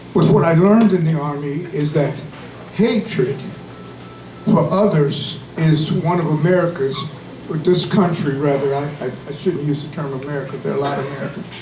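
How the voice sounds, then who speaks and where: Over noticeable background noise and audible room echo, a man speaks at a fairly high pitch with ordinary pitch variation. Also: moderate pace. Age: 70s. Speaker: civil rights activist, Army veteran. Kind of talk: rally speech.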